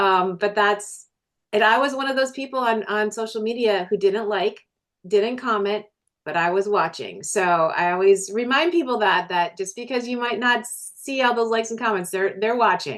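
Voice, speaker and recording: A woman speaks with an American accent at a fairly high pitch. Her pitch varies in an ordinary way. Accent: Minnesota accent, shows when talking fast. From Minnesota. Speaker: businesswoman and energy healer. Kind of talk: interview.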